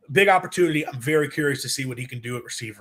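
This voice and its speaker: A man's fairly high voice, bright and sharp in tone, at a very fast pace. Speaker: sports show host. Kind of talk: live call-in show talk. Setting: live stream with screen share. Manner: halting, stammering.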